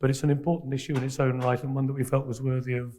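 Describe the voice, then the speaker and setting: At a very fast pace, a man speaks in a dark, mellow, somewhat breathy tone with a medium pitch and monotone, flat intonation. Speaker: panel moderator. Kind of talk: conference panel introduction. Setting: conference stage with audience.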